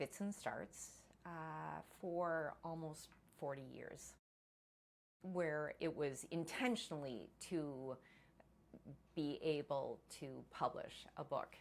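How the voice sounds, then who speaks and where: A woman with a very deep, low voice speaks at a very slow pace with ordinary pitch variation. Her speech is broken by long, frequent pauses. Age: 60s. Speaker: first-time author. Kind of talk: casual talk to camera.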